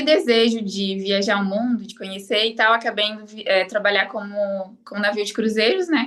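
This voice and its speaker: A woman talks at a fairly quick pace with an unremarkable speaking voice and ordinary pitch variation. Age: 30s. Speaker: online course student, affiliate marketer. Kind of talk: interview. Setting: live stream interview.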